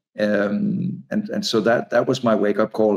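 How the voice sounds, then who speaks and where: A man talks with a Danish accent. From Denmark. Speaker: author and advertising consultant. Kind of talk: interview conversation. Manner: halting, many repeated words.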